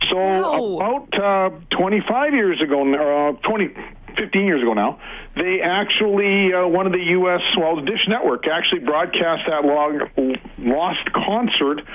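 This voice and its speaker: Over noticeable background noise, a man with a high pitch speaks fairly slowly, his intonation lively and his loudness very even. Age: 60s. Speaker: radio caller. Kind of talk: casual storytelling.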